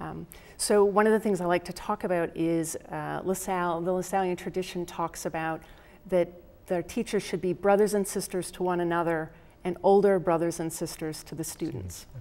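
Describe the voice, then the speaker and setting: The voice carries a dark, mellow tone and fairly even intonation. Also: woman, fairly low pitch for a woman, moderate pace. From upstate New York, Rochester. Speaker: professor. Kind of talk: interview.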